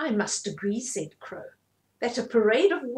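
Over a quiet background, lively intonation runs through an unforced reading voice.

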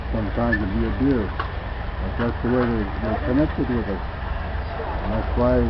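Noticeable background noise behind a male speaker. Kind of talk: storytelling interview. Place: open country. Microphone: phone near.

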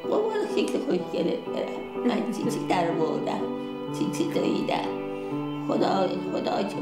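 Loud music plays in the background as a woman talks at a fairly slow pace. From Iran; Shiraz, Iran. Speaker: nursing home resident. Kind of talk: documentary, everyday speech. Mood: tender, affectionate. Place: home room.

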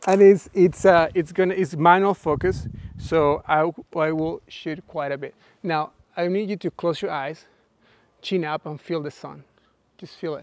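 Speaking at a fairly slow pace with long, frequent pauses, a man uses a high pitch and fairly even intonation in a dry sound with no echo. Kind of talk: live workshop explanation and directing a model. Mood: relaxed, playful. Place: garden.

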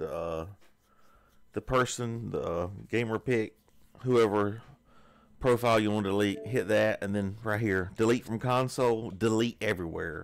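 A man with a fairly low pitch on a very clean recording with a silent background. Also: ordinary pitch variation, moderate pace. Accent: Southern US. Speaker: gaming YouTuber. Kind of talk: screen-recorded tutorial walkthrough. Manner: casual, hesitant.

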